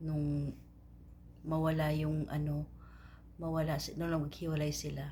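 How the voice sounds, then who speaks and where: A woman at a fairly slow pace. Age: 40s. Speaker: vlogger seeking her father. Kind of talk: personal appeal message. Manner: halting.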